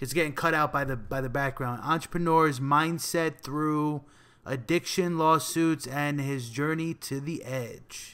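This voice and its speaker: Speaking at a fairly slow pace, a man with a New Jersey accent has a bright, sharp tone, fairly high pitch and fairly even intonation on a very clean recording with a silent background. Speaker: podcast host. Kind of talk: podcast interview. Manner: casual.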